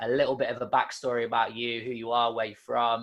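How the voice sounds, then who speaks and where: English-accented male speech over a quiet background. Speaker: fitness podcast host. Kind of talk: podcast interview.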